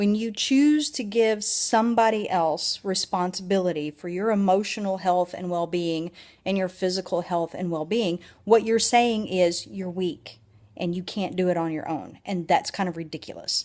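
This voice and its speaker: A woman's animated voice at medium pitch, with a Southern US accent, a moderate pace and ordinary pitch variation. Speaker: vlogger. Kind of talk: personal video blog.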